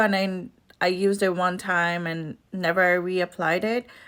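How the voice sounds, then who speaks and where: A woman with a non-native accent on a very clean recording with a silent background. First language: not English. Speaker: beauty vlogger. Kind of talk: makeup tutorial vlog. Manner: casual, with hesitations.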